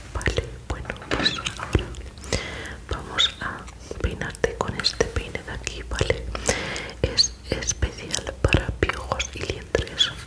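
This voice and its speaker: A woman whispers at a very slow pace. Long, frequent pauses break up her speech. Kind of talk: soft-spoken ASMR roleplay. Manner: soft, hushed ASMR voice. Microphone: studio mic.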